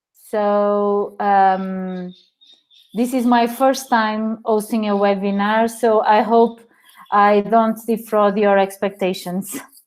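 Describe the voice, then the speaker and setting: A woman speaks with a Portuguese accent. Her delivery is very slow, with monotone, flat intonation. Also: medium pitch for a woman, very even loudness. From Portugal. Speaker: teacher. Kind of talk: webinar presentation. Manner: halting, many fillers.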